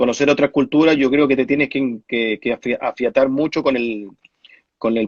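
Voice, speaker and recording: A man speaks at a moderate pace with a medium pitch, recorded with a dry, close sound and no echo. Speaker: former professional footballer. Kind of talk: interview. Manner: halting, many fillers.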